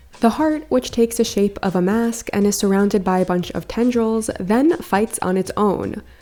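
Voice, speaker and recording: A woman with a fairly high pitch and ordinary pitch variation at a moderate pace, music in the background. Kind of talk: anime video essay narration. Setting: home recording with a new microphone.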